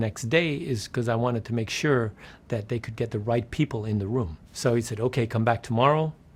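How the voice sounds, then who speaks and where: A man at medium pitch, somewhat breathy, with ordinary pitch variation and a fairly quick pace, on a very clean recording with a silent background. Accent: American. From Netherlands, then New York City. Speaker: game publisher. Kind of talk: interview anecdote. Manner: animated storytelling; plain simple English.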